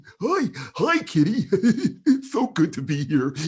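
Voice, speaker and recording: A man puts on a character voice with a high pitch. He speaks at a fairly slow pace, with very wide pitch swings. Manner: cheerful, excited.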